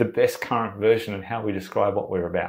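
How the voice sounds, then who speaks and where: A medium-pitched man at a moderate pace, in a very clean recording with a silent background. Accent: Australian. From Sydney, Australia. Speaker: branding agency founder. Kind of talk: podcast interview answer. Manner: excited, energetic.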